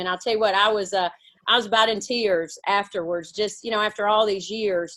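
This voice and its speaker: A woman with a Mississippi accent speaks at a fairly quick pace in a medium pitch and a monotone, flat intonation, recorded very cleanly against a silent background. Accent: Mississippi accent with country twang. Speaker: women's basketball coach. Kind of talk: interview.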